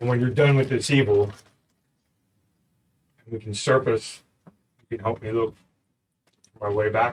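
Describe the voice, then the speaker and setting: A man puts on a resonant character voice at a medium pitch. He moves at a moderate pace with long, frequent pauses. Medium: actual play. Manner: terse, earnest.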